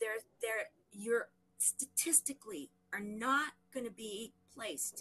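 Bright and sharp in tone, a woman with an American accent speaks fairly slowly at a fairly high pitch, her intonation lively and broken by long, frequent pauses. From Southern US. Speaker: nonprofit founder. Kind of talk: interview. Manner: animated.

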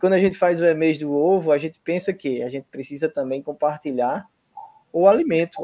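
Using an unremarkable speaking voice, a man keeps a moderate pace and ordinary pitch variation. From Brazil, Paraíba. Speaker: university professor. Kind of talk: online event hosting.

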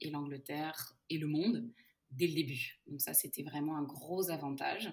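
Speaking at a very slow pace, a woman has a very deep, low pitch with ordinary pitch variation. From Portugal and Brazil (Luso-Brazilian). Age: 30s. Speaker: head of customer success at a software company. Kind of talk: podcast interview.

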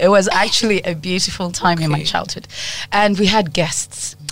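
Recorded with audible room echo and noticeable background noise, a woman talks at a medium pitch. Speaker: creative, actress. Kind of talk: interview.

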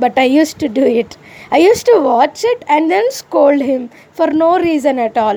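With an Indian accent, a woman speaks in a high pitch with very wide pitch swings, a dark, mellow tone and very even loudness. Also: moderate pace. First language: an Indian language other than Hindi. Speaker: YouTube vlogger. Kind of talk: personal monologue vlog.

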